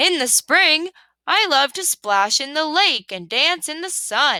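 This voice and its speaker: Put-on character voice from a woman, pitched high and moving at a fairly slow pace. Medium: read story.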